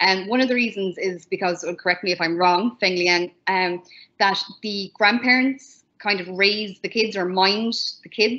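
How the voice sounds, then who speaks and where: Medium pitch and fairly even intonation from a woman with an Irish accent. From Ireland. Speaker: English teacher in China. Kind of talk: online panel talk. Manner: fast.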